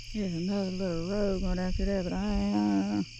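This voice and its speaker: Someone with a Southern US accent talks at a moderate pace. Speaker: outdoor vlogger. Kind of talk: casual vlog narration. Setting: outdoors at night by a lake.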